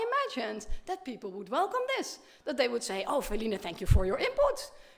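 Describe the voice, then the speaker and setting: Over noticeable background noise, a woman with a non-native accent talks at a very fast pace in a high, animated voice with very wide pitch swings. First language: Dutch. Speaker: professor. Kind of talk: keynote lecture.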